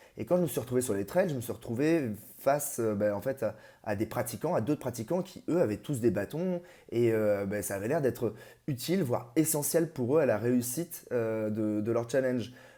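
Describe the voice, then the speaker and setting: In a very clean recording with a silent background, a man speaks at a moderate pace with medium pitch and lively intonation. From Paris region, France. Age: 30s. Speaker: amateur ultra trail runner. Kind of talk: interview. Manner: halting, many hesitations.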